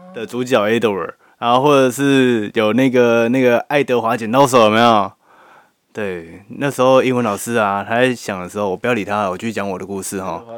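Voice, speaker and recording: The man's pitch sits in the medium range. It moves up and down in an ordinary way. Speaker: podcast co-host. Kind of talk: casual chat. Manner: animated, laughing often.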